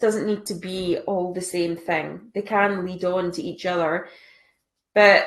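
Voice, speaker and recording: Her pace is fairly slow and her intonation fairly even. This woman speaks at a medium pitch. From Scotland. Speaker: online business coach. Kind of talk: live stream tutorial. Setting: live stream. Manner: casual.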